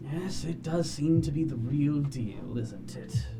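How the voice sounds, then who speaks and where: Over loud music in the background, a man uses a put-on character voice, fairly high in pitch and at a fairly slow pace. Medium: actual play.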